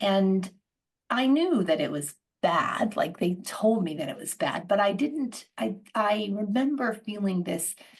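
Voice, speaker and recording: A woman's somewhat breathy voice with an American accent. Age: 60s. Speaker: organizational psychologist and coach. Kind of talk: casual interview conversation. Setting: video call. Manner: halting, with frequent self-corrections.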